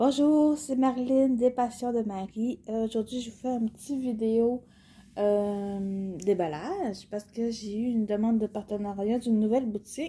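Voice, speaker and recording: Her voice is somewhat breathy. The woman uses ordinary pitch variation. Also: fairly high pitch for a woman, fairly slow pace. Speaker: cross-stitch YouTuber. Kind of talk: casual product unboxing vlog. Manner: hesitant, many fillers.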